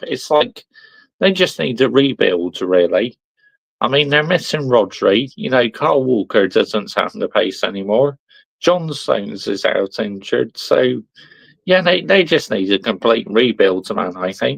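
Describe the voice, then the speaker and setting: In a Somerset accent, a man talks at a fairly slow pace with a medium pitch and very wide pitch swings, the sound dry and close with no echo. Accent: Somerset, West Country. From Somerset, West Country. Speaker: football discussion participant.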